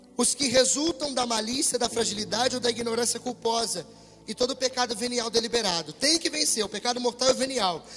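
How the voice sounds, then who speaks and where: Against noticeable background noise, a man with an extremely high pitch speaks at a fairly quick pace with ordinary pitch variation. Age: 20s. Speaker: preacher. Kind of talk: sermon. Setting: church with congregation, livestreamed. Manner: animated.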